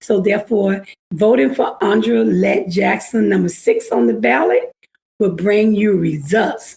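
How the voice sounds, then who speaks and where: A woman with an Alabama accent at a fairly slow pace, very even in loudness. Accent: Southern US (Alabama). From US South (Alabama). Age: 60s. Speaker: political candidate. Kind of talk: election interview; campaign closing speech. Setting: livestream interview.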